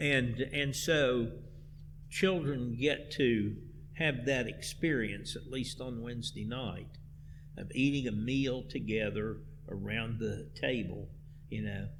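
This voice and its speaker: Speaking with an American accent at a very slow pace, a man at medium pitch uses ordinary pitch variation and vocal fry, leaving long, frequent pauses amid audible room echo. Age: 70s. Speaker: church music director. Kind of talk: interview.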